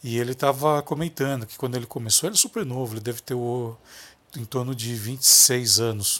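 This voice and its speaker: A man's medium-pitched voice shows ordinary pitch variation and keeps a moderate pace. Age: 40s. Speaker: lighting designer and podcast host. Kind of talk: motivational monologue. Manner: halting.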